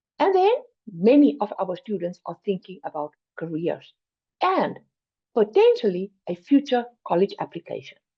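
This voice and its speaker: Delivered at a moderate pace in a South African accent, the speech has long, frequent pauses. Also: woman. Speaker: finance program educator. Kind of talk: presentation.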